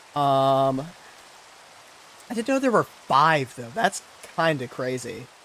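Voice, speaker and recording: A man's fairly high voice, very slow pace, long and frequent pauses, ordinary pitch variation, and noticeable background noise. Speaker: gaming streamer. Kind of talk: casual live-stream commentary. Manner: halting, many fillers.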